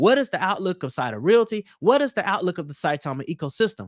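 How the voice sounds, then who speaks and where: An animated tone at a fairly quick pace with very wide pitch swings, the sound dry and close with no echo in a very clean recording with a silent background. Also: man. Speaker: crypto YouTuber. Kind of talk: casual news commentary.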